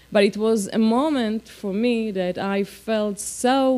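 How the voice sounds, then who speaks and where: A woman talks with an Israeli accent. Her pitch variation is ordinary. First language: Hebrew. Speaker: politician. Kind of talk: speech. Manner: halting.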